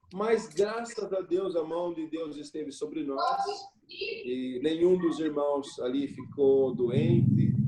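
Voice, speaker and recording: A man with fairly high pitch and lively intonation at a very slow pace, over noticeable background noise. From Brazil, São Paulo state (Jundiaí). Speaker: missionary pastor. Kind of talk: casual chat.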